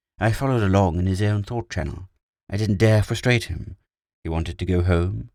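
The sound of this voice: Against a quiet background, the speech comes in an unforced reading voice with ordinary pitch variation.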